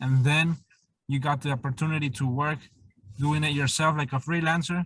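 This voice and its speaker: This man speaks with a Spanish accent, his pitch fairly high and his intonation fairly even. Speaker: interviewer. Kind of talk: interview.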